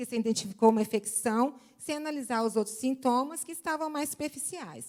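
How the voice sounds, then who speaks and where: This woman's voice sits high in pitch. Its pitch variation is ordinary. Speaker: seminar speaker on homeopathy. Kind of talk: lecture.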